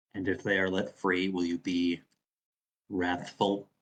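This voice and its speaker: A man's quiet, put-on character voice, very deep and low in pitch, with monotone, flat intonation at a fairly slow pace. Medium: actual play.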